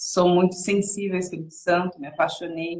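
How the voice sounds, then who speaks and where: Speaking at a moderate pace, a woman uses a medium pitch with a somewhat breathy voice. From São Paulo state, Brazil. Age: 30s. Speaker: women's devotional preacher. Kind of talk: sermon.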